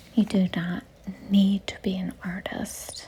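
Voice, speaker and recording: A soft-spoken woman with a gentle tone at a very slow pace, over noticeable background noise. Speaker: art content creator. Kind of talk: calming art tutorial talk. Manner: gentle, quiet, soft-spoken.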